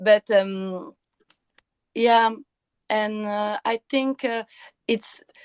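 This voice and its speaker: A woman with a Quebec accent and fairly high pitch, very slow pace, long, frequent pauses, and a dry, close sound with no echo. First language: French. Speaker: actress. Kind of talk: interview. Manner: halting, many hesitations.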